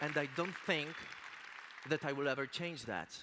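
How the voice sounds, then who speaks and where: A bright, sharp tone comes through at a fairly slow pace in a Polish accent. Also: man. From Poland. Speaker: motivational speaker. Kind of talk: motivational speech.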